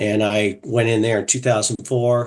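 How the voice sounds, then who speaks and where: A man with an American accent speaks at medium pitch in an unremarkable speaking voice. The background is quiet. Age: 60s. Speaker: fraternal organization officer. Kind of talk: interview.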